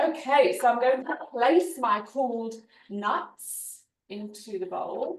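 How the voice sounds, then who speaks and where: Very slowly and with lively intonation, a woman speaks at a high pitch in a British accent. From UK. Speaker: cooking demonstrator. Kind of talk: cooking demo on video call. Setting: video call.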